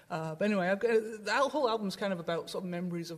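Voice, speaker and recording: A woman with a Welsh accent, very fast, with ordinary pitch variation. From south Wales. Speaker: guitarist. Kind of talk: casual chat. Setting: stage with audience.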